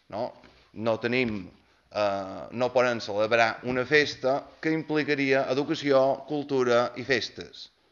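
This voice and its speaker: Speaking very slowly, the man uses ordinary pitch variation. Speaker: opposition councillor. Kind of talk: heated municipal council debate. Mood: critical, somewhat ironic. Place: hall.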